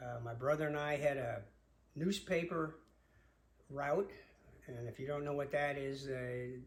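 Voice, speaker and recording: With an American accent, a man speaks at a fairly high pitch with fairly even intonation and long, frequent pauses, in a room with audible echo. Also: fairly slow pace. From Long Island, New York. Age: 70s. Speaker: father telling family memories. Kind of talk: personal storytelling. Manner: halting, many filler words.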